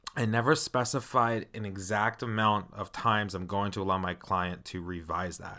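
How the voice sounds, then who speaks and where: A man with a fairly low pitch, a bright, sharp tone and ordinary pitch variation, on a very clean recording with a silent background. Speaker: interior designer podcast host. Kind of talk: solo podcast monologue. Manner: casual, conversational.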